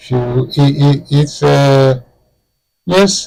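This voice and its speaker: Somewhat breathy, a man speaks at medium pitch. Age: 80s+. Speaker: historian and author. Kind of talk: interview. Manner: halting.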